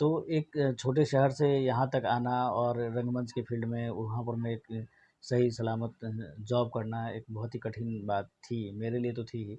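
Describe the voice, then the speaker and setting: A man with a Bihar accent speaks at medium pitch in a dark, mellow tone. His voice is somewhat breathy and his intonation monotone and flat. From Mithila region, Bihar, India. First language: Maithili (speaking Hindi). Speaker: theatre publications editor. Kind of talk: interview.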